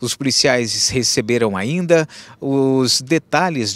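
A man speaks very slowly with lively intonation. The sound is dry, with no echo. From Brazil. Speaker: TV news reporter. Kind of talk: news report. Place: street. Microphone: handheld.

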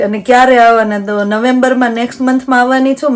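Against noticeable background noise, a woman speaks with a high pitch and fairly even intonation. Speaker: family vlogger. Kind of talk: casual vlog talk to camera.

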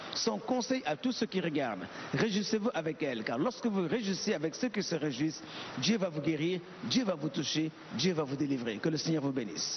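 Talking at a very fast clip, a man with a high voice swings his pitch very widely over noticeable background noise. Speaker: church interpreter. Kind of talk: live interpretation. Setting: church.

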